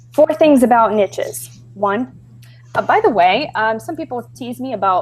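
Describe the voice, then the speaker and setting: Pitched fairly high, a woman with a slight Brazilian accent speaks at a fairly slow pace, her loudness swinging widely. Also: lively intonation. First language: Portuguese. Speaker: B2B copywriter and webinar presenter. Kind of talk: webinar presentation. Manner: hesitant, many filler ums.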